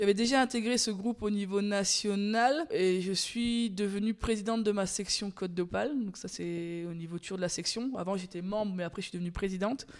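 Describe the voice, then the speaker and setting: A woman with a normal speaking voice talks at a medium pitch and a fairly quick pace, with ordinary pitch variation and hardly any pauses. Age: 30s. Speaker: dairy farmer. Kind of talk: interview. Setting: on her farm.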